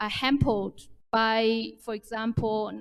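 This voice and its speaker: A woman with a Chinese accent speaks at a very slow pace in a fairly high pitch. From China. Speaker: development bank official, panelist. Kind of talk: panel discussion. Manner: halting, repeats words.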